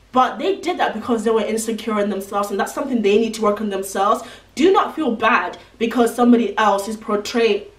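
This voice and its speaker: Over noticeable background noise, a woman with a fairly high pitch speaks at a very fast pace, with hardly any pauses and ordinary pitch variation. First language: not English. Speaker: beauty and lifestyle vlogger. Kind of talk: advice vlog. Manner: casual, chatty.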